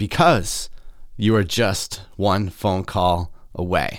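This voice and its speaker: A man with a Midwestern accent on a very clean recording with a silent background. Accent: general American, Midwestern. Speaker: podcast host. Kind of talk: solo podcast monologue, casual. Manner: casual, animated.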